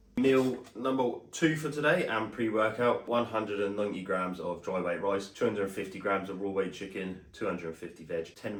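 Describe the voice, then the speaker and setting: This man has a British accent and a fairly low pitch, talking at a fairly quick pace with lively intonation. His tone is upbeat, and there is noticeable background noise. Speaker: amateur bodybuilder vlogger. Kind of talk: vlog narration. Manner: casual, upbeat.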